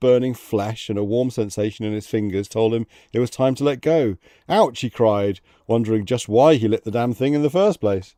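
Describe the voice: This is plain reading aloud with ordinary pitch variation.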